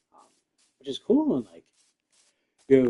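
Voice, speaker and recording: A soft-spoken man with a dark, mellow tone is heard in a dry, close recording with no echo. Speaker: gaming streamer. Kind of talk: casual gameplay livestream commentary.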